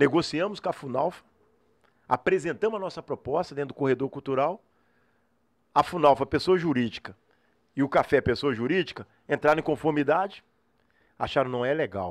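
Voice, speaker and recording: Fairly high in pitch for a man, his voice moves at a fairly quick pace with ordinary pitch variation and long, frequent pauses. The recording is very clean, with a silent background and a dry, close sound with no echo. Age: 40s. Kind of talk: casual interview chat.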